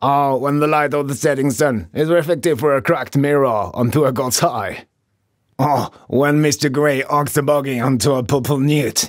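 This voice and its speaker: In a very clean recording with a silent background, a man puts on a gravelly character voice. His pitch sits fairly high. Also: moderate pace. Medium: read story. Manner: gruff, bossy.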